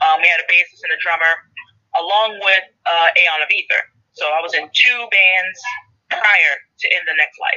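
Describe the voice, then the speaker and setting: With long, frequent pauses, a woman talks at a moderate pace. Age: 30s. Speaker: indie rock vocalist. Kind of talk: casual interview.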